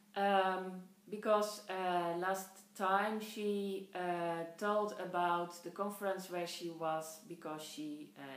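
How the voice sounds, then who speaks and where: In a Dutch accent, a woman with a medium pitch and fairly even intonation speaks at a very slow pace, with audible room echo and noticeable background noise. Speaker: podcast host, knitter. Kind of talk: casual podcast monologue. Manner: halting, many fillers.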